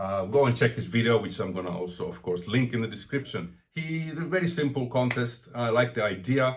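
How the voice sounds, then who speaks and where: A man with a medium pitch talks fairly quickly with hardly any pauses. His intonation is lively, and there is noticeable background noise. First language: not English. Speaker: vinyl record collector vlogger. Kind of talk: casual vlog monologue. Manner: stuttering, rambling.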